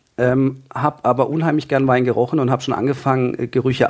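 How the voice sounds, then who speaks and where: A man with a plain, everyday voice at a medium pitch. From Freiburg, southern Germany. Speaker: trained winemaker and wine enthusiast. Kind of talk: casual expert interview.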